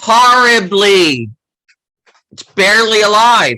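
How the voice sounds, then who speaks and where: A man's high, raised and projected voice, very slow, with ordinary pitch variation. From US, Baltimore (East Baltimore). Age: 60s. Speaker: author and former journalist. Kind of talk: interview.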